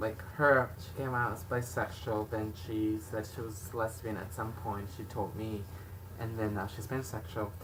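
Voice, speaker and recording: A man talks at a moderate pace and fairly low pitch, with fairly even intonation. Audible room echo and noticeable background noise are present. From Mexican background. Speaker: video blogger. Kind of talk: casual chat. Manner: loud.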